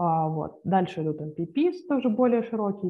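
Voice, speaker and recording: In an ordinary speaking voice, a woman talks at a fairly slow pace with lively intonation. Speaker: journal club presenter; presenter. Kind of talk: paper presentation. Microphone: video call.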